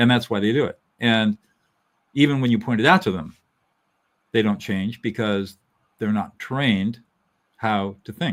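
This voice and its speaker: Speaking in a Californian accent, a man with a fairly low pitch goes at a fairly slow pace, leaving long, frequent pauses. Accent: General American (Californian). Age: 70s. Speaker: lawyer and mediator, author. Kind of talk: interview.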